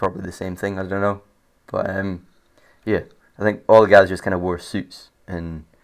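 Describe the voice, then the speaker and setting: A man with a British accent speaks at a very deep, low pitch in a monotone, flat delivery. He keeps a moderate pace broken by long, frequent pauses. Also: big swings in loudness, very clean recording, silent background. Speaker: podcast host. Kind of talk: casual storytelling monologue. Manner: halting, many fillers.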